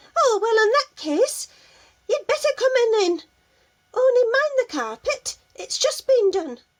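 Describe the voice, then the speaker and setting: In a put-on character voice, a woman squeaks at an extremely high pitch, speaking at a fairly slow pace. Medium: read story. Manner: brisk, fussy.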